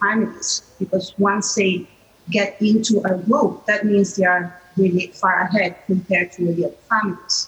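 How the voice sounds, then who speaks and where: With an Italian accent, a woman speaks at a moderate pace and a medium pitch. Her pitch variation is ordinary, and noticeable background noise is present. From Italy. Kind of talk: panel discussion. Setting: video call.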